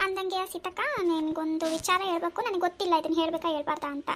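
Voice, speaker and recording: In a squeaky, put-on character voice, a woman talks at an extremely high pitch and a moderate pace with fairly even intonation. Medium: cartoon. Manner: hesitant, roundabout.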